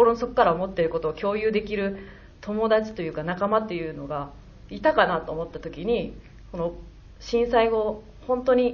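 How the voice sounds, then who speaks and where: A woman's medium-pitched voice with lively intonation, a moderate pace and audible room echo. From Hyogo, Kansai (Kakogawa). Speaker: film director. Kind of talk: post-screening talk. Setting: stage with audience.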